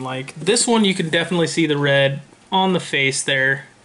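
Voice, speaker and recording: Noticeable background noise runs under the voice. The delivery is fairly quick, and the pitch moves in a typical way. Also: man. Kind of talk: casual vlog chat. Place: home room. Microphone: webcam.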